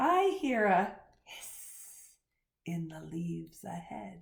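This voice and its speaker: Using a put-on character voice, a woman speaks. Her pace is very slow. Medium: read story.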